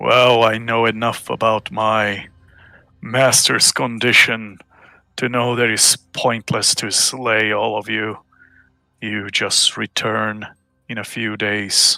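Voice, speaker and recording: A man does a put-on character voice at a medium pitch and a fairly slow pace. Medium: actual play. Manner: haughty, measured.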